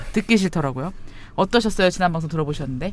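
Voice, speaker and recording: With lively intonation, this man talks at a high pitch. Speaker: podcast host. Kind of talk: casual chat. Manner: loud.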